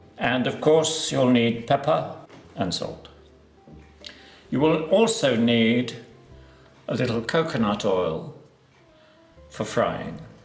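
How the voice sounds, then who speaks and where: A man's calm, gentle tone with lively intonation and long, frequent pauses, music in the background. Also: medium pitch for a man. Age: 80s. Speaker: home cook, cooking channel host. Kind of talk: cooking demonstration to camera. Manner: calm, gentle, unhurried.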